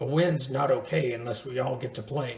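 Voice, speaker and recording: A man's raspy put-on character voice at medium pitch and a moderate pace, with audible echo. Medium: read story. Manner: gruff.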